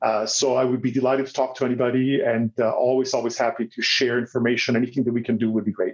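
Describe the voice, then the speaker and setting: Speaking at a very fast pace with hardly any pauses, a man with a slight Italian accent holds a medium pitch, fairly even intonation and very even loudness. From Italy. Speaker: business executive and diversity researcher. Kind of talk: interview conversation.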